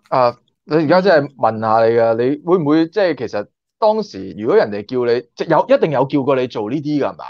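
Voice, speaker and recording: A man speaks at a fairly quick pace with a fairly high pitch and very wide pitch swings, his tone animated, in a dry recording with no echo and a quiet background. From Hong Kong. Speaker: YouTuber and former stunt extra; YouTuber. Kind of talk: casual interview chat. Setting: online call. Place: home room. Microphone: video call.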